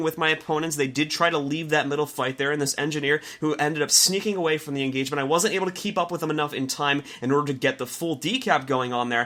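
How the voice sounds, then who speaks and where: A man's fairly high voice races along very fast with ordinary pitch variation, while noticeable background noise sits underneath. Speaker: gaming commentator. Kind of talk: gameplay commentary. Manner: casual with filler words.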